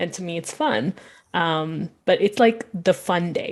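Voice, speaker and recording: A woman's fairly low voice at a fairly slow pace, with a Pakistani accent. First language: Urdu. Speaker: web developer. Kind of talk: panel discussion.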